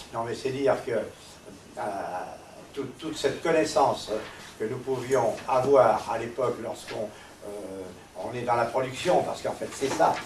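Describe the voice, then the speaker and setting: Medium-pitched male voice at a fairly slow pace, with ordinary pitch variation, audible room echo and noticeable background noise. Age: 80s. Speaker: resistance veteran. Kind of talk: testimony. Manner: halting.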